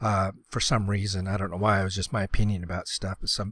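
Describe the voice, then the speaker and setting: A man's very fast, somewhat breathy voice at fairly low pitch, dry and close with no echo, in a very clean recording with a silent background. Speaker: gaming YouTuber. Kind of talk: casual gameplay commentary. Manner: hesitant, many fillers.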